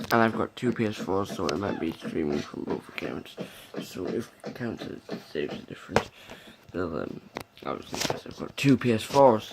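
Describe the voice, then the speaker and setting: A soft-spoken man talks at a moderate pace with a fairly low pitch and lively intonation. Noticeable background noise can be heard. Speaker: gaming youtuber. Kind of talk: gameplay commentary. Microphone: may be too quiet.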